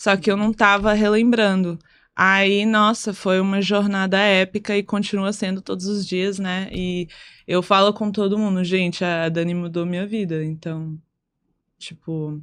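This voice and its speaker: Against a quiet background, a woman speaks at a medium pitch with flat, monotone intonation. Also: fairly slow pace. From United States. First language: English (speaking Portuguese). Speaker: singer and content creator. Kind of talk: casual podcast chat.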